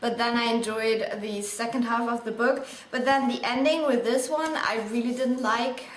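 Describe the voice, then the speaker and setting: A woman's high-pitched voice with a non-native accent, moderate pace, and ordinary pitch variation, amid audible room echo and noticeable background noise. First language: not English. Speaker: book vlogger. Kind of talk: casual book review monologue. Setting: indoors in bright sunlight, video. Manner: casual with frequent fillers.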